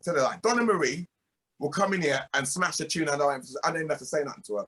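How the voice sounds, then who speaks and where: A man's loud, bright, sharp voice at a fairly high pitch, very fast pace and lively intonation, in a dry, close sound with no echo. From England (UK-born, Jamaican heritage). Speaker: reggae singer and producer. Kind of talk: interview. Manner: emphatic.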